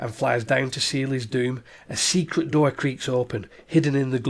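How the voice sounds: Intonation holds fairly even. The voice is a natural reading voice.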